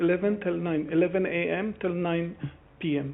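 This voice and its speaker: A man with a non-native accent, fairly even intonation and a fairly slow pace. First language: not English. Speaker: street food trader applying for a licence. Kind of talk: formal hearing testimony. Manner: halting.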